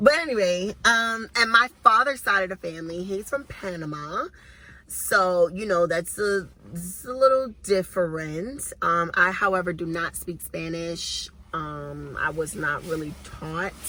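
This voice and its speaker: In a Southern US accent, a woman with a medium pitch and a bright, sharp tone speaks at a fairly slow pace, her animated delivery full of lively intonation and big swings in loudness. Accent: sounds Southern rather than New York. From Brooklyn, New York (Brownsville). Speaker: YouTuber. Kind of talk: casual chat.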